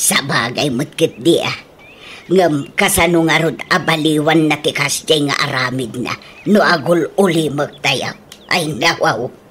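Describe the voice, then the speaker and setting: A woman's put-on character voice, very deep and low, with ordinary pitch variation and a fairly slow pace. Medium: audio drama. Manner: grumbling, wry.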